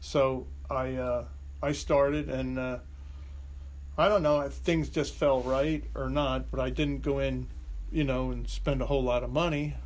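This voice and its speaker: Audible room echo surrounds a man who speaks with long, frequent pauses. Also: fairly slow pace. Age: 70s. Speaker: business owner and car collector, Vietnam veteran. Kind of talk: casual interview. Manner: hesitant, with many fillers and restarts.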